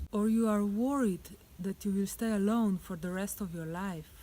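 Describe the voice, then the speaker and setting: With a non-native accent, a woman talks at a moderate speed. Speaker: life coach. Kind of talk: relationship advice talk to camera.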